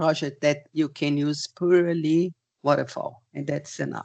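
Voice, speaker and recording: Speaking at a fairly slow pace in a Portuguese accent, a woman with a very deep, low pitch sounds dry and close with no echo. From Portugal. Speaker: project management expert. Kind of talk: webinar presentation and Q&A. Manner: halting, many fillers.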